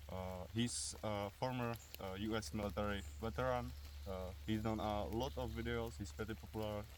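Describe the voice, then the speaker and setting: A man speaks at a very deep, low pitch with very wide pitch swings. His pace is moderate, and the room echo is audible. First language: Czech. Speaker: airsoft and survival video creator. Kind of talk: outdoor tutorial. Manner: hesitant, many fillers.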